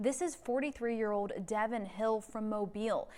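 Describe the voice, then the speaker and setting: A woman talks at a moderate pace, pitched fairly high. Hers is a plain, everyday voice. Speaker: TV news anchor. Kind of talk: TV newscast read.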